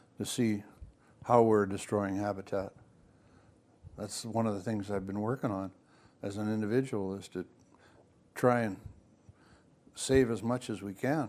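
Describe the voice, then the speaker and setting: With long, frequent pauses, a man speaks at a fairly low pitch and with fairly even intonation. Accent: western Canadian. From Vancouver Island, British Columbia. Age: 80s+. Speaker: outdoorsman and fishing mentor. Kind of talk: casual chat. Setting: living room.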